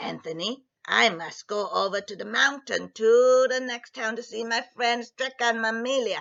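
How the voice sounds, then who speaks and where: A woman puts on a character voice, pitched fairly high. She speaks at a moderate pace with hardly any pauses. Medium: read story. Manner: firm, instructive.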